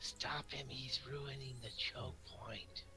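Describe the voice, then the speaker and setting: A quiet, breathy whisper from a man doing a put-on character voice at a very slow pace, with loud background noise. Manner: whispering urgently.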